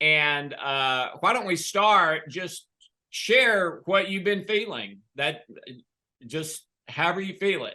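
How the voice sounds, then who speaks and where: In a Southern US accent, a man talks at a very slow pace in a high pitch with a bright, sharp tone and ordinary pitch variation. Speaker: health coach / author. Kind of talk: interview.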